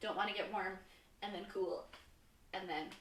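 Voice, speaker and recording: Full of energy, a woman talks at a fairly quick pace amid audible room echo. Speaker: fitness instructor. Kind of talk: live-streamed fitness class instruction. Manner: energetic, sometimes fast.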